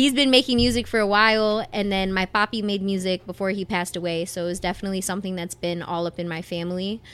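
A woman with a Detroit accent talks at a very fast pace, medium pitch, and fairly even intonation on a very clean recording with a silent background. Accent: Detroit American English. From Southwest Detroit, Michigan. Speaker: singer. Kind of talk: casual interview.

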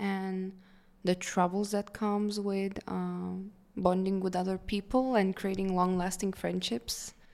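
The recording is very clean with a silent background, and a woman talks at a medium pitch with fairly level intonation. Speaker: podcast co-host. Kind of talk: casual chat. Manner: fast.

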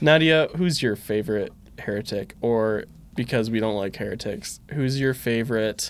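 A man with an ordinary speaking voice talks moderately fast in a medium pitch, with ordinary pitch variation. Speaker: podcast co-host. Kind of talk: casual chat.

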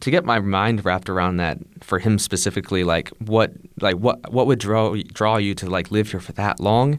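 Ordinary pitch variation runs through the speech of a man with a Midwestern US accent. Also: very clean recording, silent background. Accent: US Midwest. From US, Ohio. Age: 20s. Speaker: English teacher. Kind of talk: casual chat.

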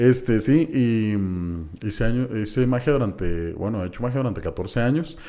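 There are hardly any pauses as a man speaks at a moderate pace, his dark, mellow tone carried by lively intonation. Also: medium pitch for a man. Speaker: comedian. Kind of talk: casual chat.

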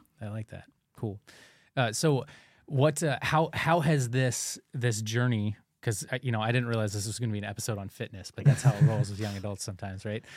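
On a very clean recording with a silent background, a man with an American accent speaks in a normal speaking voice at a medium pitch with ordinary pitch variation. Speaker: parish podcast host. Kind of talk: casual chat. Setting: studio.

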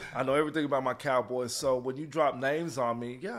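Speaking at a very fast pace, a man with an American accent uses a medium pitch and ordinary pitch variation. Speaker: father of an NFL player. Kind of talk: casual chat.

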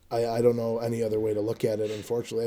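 A man with an American accent, medium pitch and a dark, mellow tone, on a very clean recording with a silent background. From Chicago, Illinois. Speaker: podcast co-host, sports card collector. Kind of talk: casual chat.

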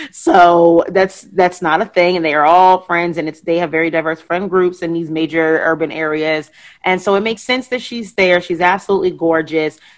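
A woman's fairly low-pitched, a plain, everyday voice, at a moderate pace with fairly even intonation and hardly any pauses. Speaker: podcast host and guest on pop culture show. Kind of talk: casual chat.

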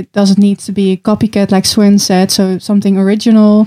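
A woman speaks at a medium pitch in a dark, mellow tone with monotone, flat intonation, on a very clean recording with a silent background and a dry, close sound with no echo. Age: 20s. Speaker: hotel revenue manager. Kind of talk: casual interview.

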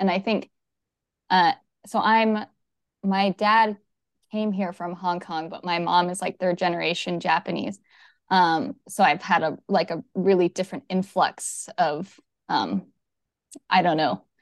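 Against a quiet background, a woman speaks at a medium pitch with long, frequent pauses, in a dry, close recording with no echo. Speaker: yoga instructor and movement specialist. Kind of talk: casual interview chat. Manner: fast talker.

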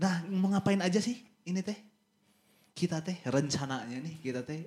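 A man with a Sundanese accent sounds somewhat breathy, with very wide pitch swings. He speaks at a moderate pace. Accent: Sundanese-accented Indonesian. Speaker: podcast host. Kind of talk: casual chat.

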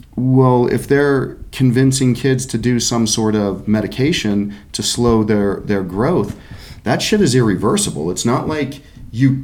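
A man talks at a fairly slow pace with a medium pitch and lively intonation. The room echo is audible. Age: 50s. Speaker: podcast host. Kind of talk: casual chat.

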